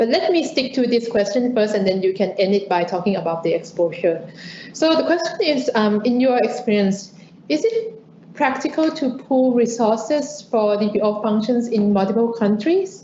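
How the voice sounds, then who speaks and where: A woman with a Thai accent speaks at a moderate pace with fairly high pitch and lively intonation. Her loudness stays very even over noticeable background noise. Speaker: lawyer moderating a webinar. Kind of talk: webinar interview.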